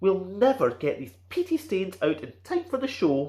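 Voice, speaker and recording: A rumbling put-on character voice at a middle pitch moves along at a moderate pace. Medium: read story. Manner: grumbling, ranting.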